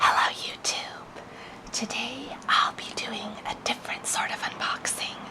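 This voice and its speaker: Someone whispers at a very slow pace. Noticeable background noise runs beneath it. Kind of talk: ASMR unboxing. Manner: whispered.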